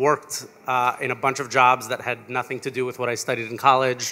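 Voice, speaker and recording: Talking at a fairly quick pace, a man with a medium pitch and an American accent has a bright, sharp tone. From New York. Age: 30s. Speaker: founder of a coding school. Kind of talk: onstage interview. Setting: stage with audience.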